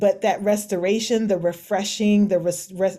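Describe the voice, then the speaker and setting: This woman's medium-pitched voice has a dark, mellow tone and fairly even intonation, captured on a very clean recording with a silent background. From US South. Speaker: author. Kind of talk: panel discussion.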